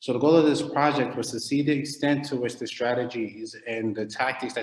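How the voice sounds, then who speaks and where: A man's fairly quick, fairly even-toned speech with a Philadelphia accent, over noticeable background noise. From US, Philadelphia. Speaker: academic researcher. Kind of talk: lecture. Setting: online video call.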